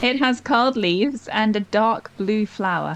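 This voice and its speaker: A woman's fairly high voice at a fairly slow pace, with ordinary pitch variation and music in the background. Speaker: gaming YouTuber. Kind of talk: casual talk to camera, gaming commentary.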